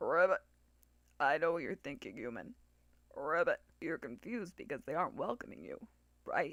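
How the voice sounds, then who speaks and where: Putting on a croaky character voice, a man speaks at a high pitch and a moderate pace, leaving long, frequent pauses. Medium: read story. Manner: punctuates speech with croaked ribbits.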